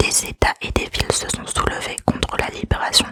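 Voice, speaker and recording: A woman whispers at a fairly slow pace. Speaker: ASMR creator. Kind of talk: true crime narration. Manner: whispered, soft-spoken.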